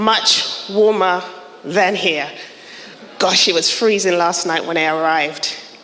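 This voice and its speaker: With noticeable background noise and audible room echo, a woman speaks fairly slowly at very even loudness with ordinary pitch variation. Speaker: architect and professional body director. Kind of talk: conference presentation.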